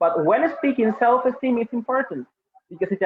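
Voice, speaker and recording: Delivered at a moderate pace, the speech has lively intonation and a Spanish accent. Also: man. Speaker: English teacher. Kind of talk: webinar presentation. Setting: webinar streamed live online.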